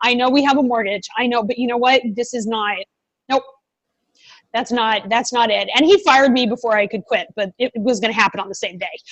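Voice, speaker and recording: A woman with a fairly high pitch talks at a fairly quick pace with ordinary pitch variation. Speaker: veterinary entrepreneur. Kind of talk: podcast interview. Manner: loud; fast.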